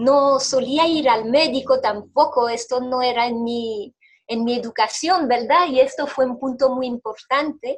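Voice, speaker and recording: A woman speaks with a French accent at a fairly slow pace. Her pitch is high and her intonation fairly even. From Belgium. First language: French (speaking Spanish). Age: 40s. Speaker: interviewee sharing health testimony. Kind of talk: testimony. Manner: halting, with repetitions.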